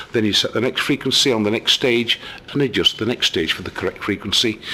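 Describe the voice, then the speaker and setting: A man with a British accent speaks at a medium pitch. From England. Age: 60s. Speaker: amateur radio hobbyist. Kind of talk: tutorial. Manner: casual.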